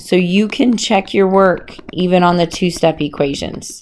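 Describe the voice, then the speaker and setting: A woman with an unremarkable speaking voice, medium pitch and a fairly slow pace. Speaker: math teacher. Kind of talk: tutorial.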